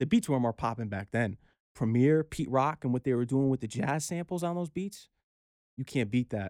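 An American-accented man with an ordinary speaking voice, medium pitch, moderate pace and lively intonation, in a dry, close sound with no echo on a very clean recording with a silent background. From Connecticut, Norwalk. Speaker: DJ and aspiring actor. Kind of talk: casual interview chat. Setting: studio.

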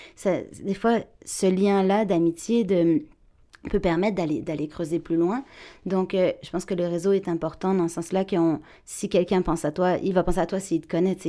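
Over a silent background in a very clean recording, a woman speaks at a moderate pace with long, frequent pauses. Her tone is dark and mellow, at medium pitch with fairly even intonation. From France. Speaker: actress and voice actor. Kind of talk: interview. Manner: bright, sparkling energy.

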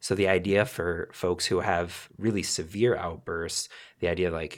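At a moderate pace, a man talks in a very deep, low pitch on a very clean recording with a silent background. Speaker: podcast host. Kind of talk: interview.

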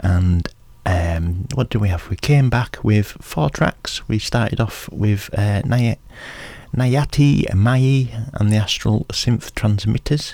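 Relaxed, somewhat breathy male voice, fairly low-pitched with a dark, mellow tone and ordinary pitch variation. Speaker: community radio DJ. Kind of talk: radio DJ patter between tracks. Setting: radio studio. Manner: relaxed, chatty, rambling with fillers; informal, self-deprecating, laughs.

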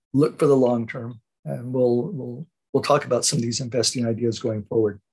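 A man speaks fairly quickly with an American accent. His medium-pitched voice is somewhat breathy. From Southern California. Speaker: investment newsletter host. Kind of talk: solo radio commentary. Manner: halting, many fillers.

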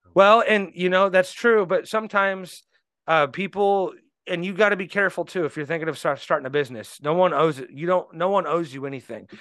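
Here a man with a Midwestern US accent speaks very fast. His pitch is high. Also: ordinary pitch variation. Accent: US Midwest. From Indianapolis, Indiana. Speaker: business owner. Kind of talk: interview.

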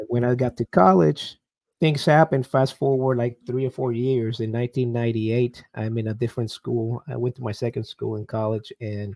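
A man with a Puerto Rican accent, medium pitch and a dark, mellow tone, at a moderate pace with fairly even intonation, in a dry, close sound with no echo. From Puerto Rico. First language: Spanish. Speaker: army veteran and business coach. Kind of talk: interview. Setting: video call.

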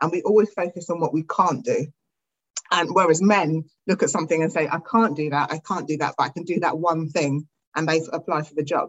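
A woman speaks with a British accent. Her pitch is fairly low and her pace fairly quick. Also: ordinary pitch variation. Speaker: artist. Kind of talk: interview conversation. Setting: video call.

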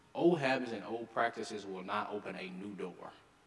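A man speaks at a medium pitch with a Southern US accent, and there is noticeable background noise. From Arkansas. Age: young. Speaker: mayor. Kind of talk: speech. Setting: stage with audience.

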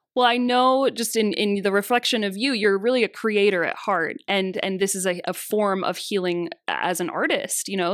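In a plain, everyday voice, a woman talks at a fairly quick pace with medium pitch and ordinary pitch variation. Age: 20s. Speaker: massage therapist and bodyworker. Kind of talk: casual interview chat.

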